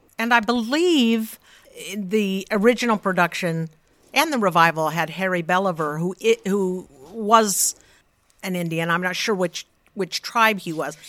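Using a plain, everyday voice, a woman with an American accent speaks at a fairly slow pace with medium pitch and ordinary pitch variation. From Utah, Salt Lake City. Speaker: musical theatre singer and actress. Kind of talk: casual interview.

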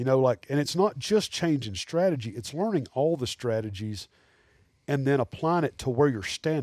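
A man's fairly high voice with lively intonation and an Alabama accent, dry and close with no echo, on a very clean recording with a silent background. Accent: Southern US (Alabama). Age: 40s. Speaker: taxidermist and hunter. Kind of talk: casual chat.

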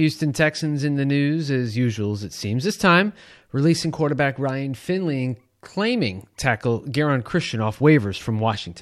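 With an unremarkable speaking voice, a man talks at a moderate pace and fairly high pitch. His intonation is lively against a quiet background. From Long Island, New York. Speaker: podcast co-host reading news. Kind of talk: news reading.

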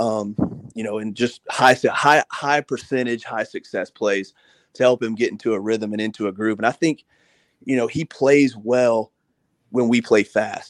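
Recorded with a dry, close sound and no echo, a man has a plain, everyday voice at a medium pitch with fairly even intonation. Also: moderate pace. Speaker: football analyst. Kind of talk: sports talk radio discussion.

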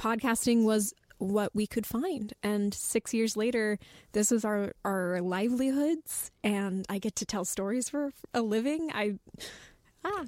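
A woman's unremarkable speaking voice, fairly high in pitch with ordinary pitch variation, at a fairly slow pace, dry and close with no echo, on a very clean recording with a silent background. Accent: American. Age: 20s. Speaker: podcast writer. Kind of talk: casual chat.

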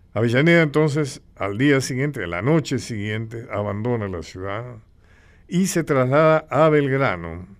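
Over a silent background in a very clean recording, a man with a plain, everyday voice speaks at medium pitch and a fairly slow pace with lively intonation. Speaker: radio host. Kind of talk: radio interview and history talk. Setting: radio studio.

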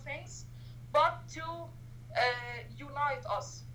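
A woman with an Arabic accent amid audible room echo. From Egypt, Cairo. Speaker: human rights activist. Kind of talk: interview.

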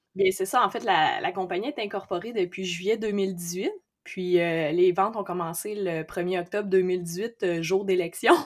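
At a fairly slow pace, a woman with an ordinary speaking voice talks at medium pitch with fairly even intonation. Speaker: entrepreneur, amateur boxer. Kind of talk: interview.

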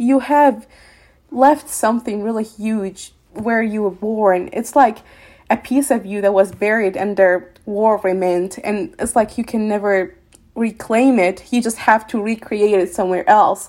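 Speaking at a fairly slow pace, a woman has a fairly high pitch. She uses a plain, everyday voice. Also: ordinary pitch variation. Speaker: former refugee, podcast participant. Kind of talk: interview, personal reflection. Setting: video call.

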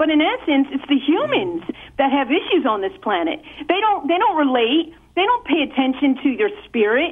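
Against noticeable background noise, a woman speaks at a moderate pace with a high pitch, very wide pitch swings and very even loudness. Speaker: caller. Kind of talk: call-in argument. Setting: phone call. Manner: argumentative.

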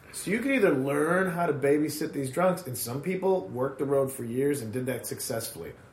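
A man with an American accent talks at a fairly quick pace in a medium pitch, his tone animated. Noticeable background noise runs underneath. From Chicago suburbs. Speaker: stand-up comedian. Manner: animated, rant-style, sarcastic.

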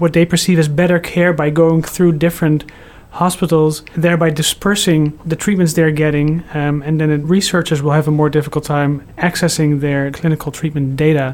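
A man in a Dutch accent, with monotone, flat intonation and very even loudness at a moderate pace, over noticeable background noise. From Netherlands. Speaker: cancer researcher, computational biologist. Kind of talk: interview.

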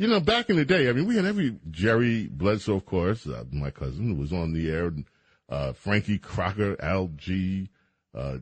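A man with an American accent, very deep and low in pitch, with very wide pitch swings at a moderate pace. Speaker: radio host. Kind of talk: call-in radio chat.

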